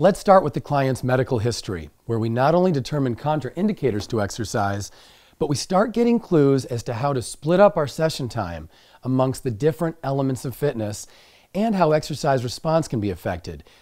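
The background is quiet. A man speaks with very wide pitch swings. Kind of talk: lecture. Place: studio.

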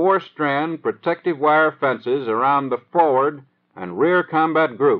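This man has an ordinary speaking voice, fairly high in pitch, with an American accent. His pace is fairly slow. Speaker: training film narrator. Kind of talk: 1930s US Army training film narration. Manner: formal, measured, dry instructional delivery; steady, matter-of-fact, newsreel-style cadence.

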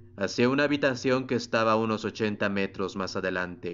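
Speaking in a normal speaking voice, a man talks at a moderate pace with fairly low pitch and fairly even intonation. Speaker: audiobook narrator. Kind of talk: literary audiobook reading of a sci-fi novel, dramatic narration with background music. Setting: home recording with background ambient music.

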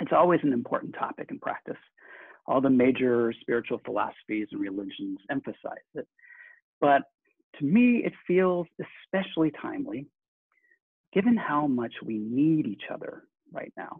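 At a moderate pace and with long, frequent pauses, a man speaks against a quiet background. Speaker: minister. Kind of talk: sermon. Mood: warm, earnest. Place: home room. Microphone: webcam.

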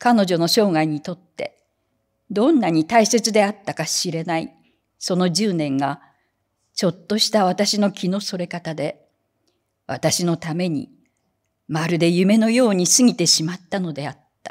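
A woman speaks in a solemn, strained voice with ordinary pitch variation. Her pace is fairly slow, with long, frequent pauses, against a quiet background. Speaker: reader. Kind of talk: literary audiobook reading. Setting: hall with audience, live reading event. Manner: slow, measured, solemn reading with a wistful, restrained tone. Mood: calm, reflective. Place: hall. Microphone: studio mic.

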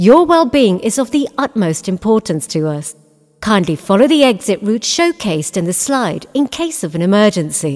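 With music playing behind her, a woman in a British accent speaks at a moderate pace in a medium pitch, her voice making very wide pitch swings. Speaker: voice actor. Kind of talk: cinema safety announcement.

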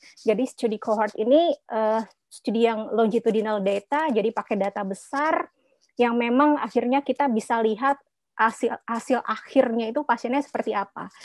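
Fairly high in pitch with ordinary variation, a woman has an unremarkable speaking voice at a moderate pace. The sound is dry with no echo against a quiet background. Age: 40s. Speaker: midwife and postdoctoral researcher; webinar guest. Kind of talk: webinar presentation. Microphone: video call.

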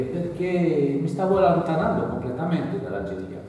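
Strong room echo rings around this man's voice. He speaks at a moderate pace with a high pitch. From Algeria. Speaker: author. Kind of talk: public talk. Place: hall. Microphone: camera far.

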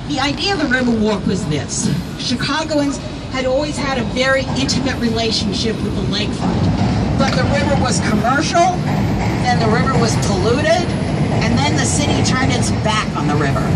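Loud background noise surrounds a woman talking at a fairly quick pace. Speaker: architecture tour guide. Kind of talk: guided tour commentary. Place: boat.

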